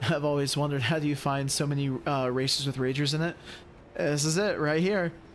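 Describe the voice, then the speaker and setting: Over audible room echo, a man speaks at a fairly quick pace with very even loudness. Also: fairly high pitch for a man, fairly even intonation. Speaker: sim racing streamer. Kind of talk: live commentary.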